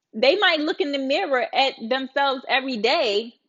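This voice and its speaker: With a Baltimore accent, a woman speaks in a high pitch, her tone animated and her intonation lively. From Baltimore, US. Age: 30s. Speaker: live streamer. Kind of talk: casual live-stream chat. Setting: live stream.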